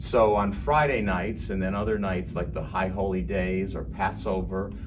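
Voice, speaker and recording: A man with an American accent and a very deep, low pitch speaks at a moderate pace with lively intonation. Audible room echo and music in the background fill the recording. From US Midwest, Cleveland, Ohio. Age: 70s. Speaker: gospel singer. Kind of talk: interview testimony. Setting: sit-down interview.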